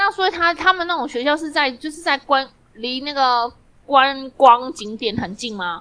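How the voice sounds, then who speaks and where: A woman's raised, projected voice, high in pitch with a bright, sharp tone, lively intonation and big swings in loudness. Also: moderate pace. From Taiwan. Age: middle-aged. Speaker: podcast co-host. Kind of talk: casual chat.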